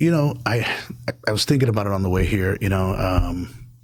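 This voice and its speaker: With noticeable background noise around him, a man's fairly low voice carries lively intonation at a moderate pace. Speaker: state legislator and former firefighter. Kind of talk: podcast interview. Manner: halting, many fillers and restarts; speaks quietly at times.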